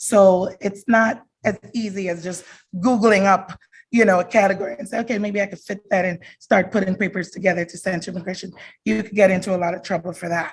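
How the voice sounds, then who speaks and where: The voice is somewhat breathy, with fairly even intonation. It moves at a fairly quick pace with big swings in loudness. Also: woman, medium pitch for a woman. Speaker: immigration attorney. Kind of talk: presentation at a community forum. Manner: fast.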